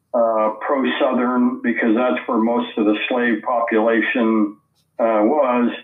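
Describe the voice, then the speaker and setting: In an American accent, a man speaks at a very slow pace, his intonation monotone and flat and his loudness very even. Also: medium pitch for a man. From Missouri. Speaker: author and Civil War historian. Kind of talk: interview. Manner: halting, many fillers.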